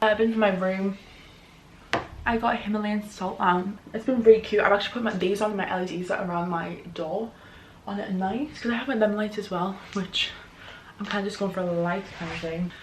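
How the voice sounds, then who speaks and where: Against noticeable background noise, a woman talks at a fairly quick pace in a medium pitch with fairly even intonation. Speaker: youtuber. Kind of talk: haul video, casual talk to camera. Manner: fast.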